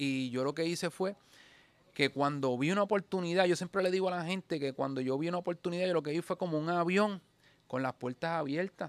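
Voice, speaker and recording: A man's high-pitched voice at a fairly quick pace, with ordinary pitch variation and a dry sound without echo. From Puerto Rico, rural. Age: 40s. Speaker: barber; podcast guest. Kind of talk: casual interview chat. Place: shop. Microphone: studio mic.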